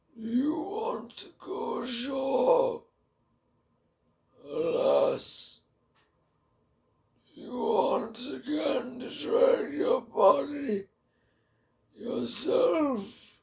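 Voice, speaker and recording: In a put-on character voice, a man speaks raspily at an extremely high pitch and a very slow pace, with long, frequent pauses. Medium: read story.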